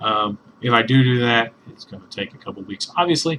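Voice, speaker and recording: At a medium pitch and moderate pace, a man with an unremarkable speaking voice talks with ordinary pitch variation. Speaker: comic book reviewer. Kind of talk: casual talk to camera.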